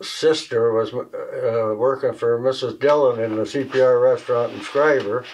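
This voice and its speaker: A man's medium-pitched voice with a rural Canadian accent and fairly even intonation. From Northwestern Ontario, Canada. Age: 80s+. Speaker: retired fuel industry worker. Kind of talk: interview. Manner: halting.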